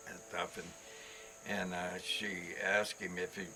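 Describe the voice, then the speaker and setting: A man speaks with music in the background. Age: 80s+. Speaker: cowboy rancher and outfitter. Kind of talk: casual storytelling interview. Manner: halting, repeats words.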